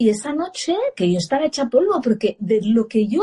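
A woman's dark, mellow, somewhat breathy voice sits at a fairly high pitch with lively intonation. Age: 40s. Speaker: parenting educator and former radio journalist. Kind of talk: casual live-stream interview.

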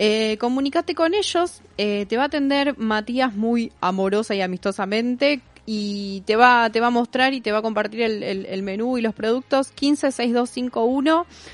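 This is an ordinary speaking voice with ordinary pitch variation. It moves at a fairly slow pace with hardly any pauses. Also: woman, fairly high pitch for a woman. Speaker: radio host. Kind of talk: casual chat.

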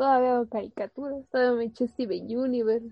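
The speaker has a Mexican accent and a monotone, flat intonation. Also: woman. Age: 20s. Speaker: student radio host. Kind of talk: casual chat.

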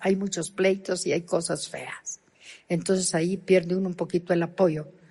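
Her voice somewhat breathy, a woman speaks. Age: 70s. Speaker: pastor. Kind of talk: sermon.

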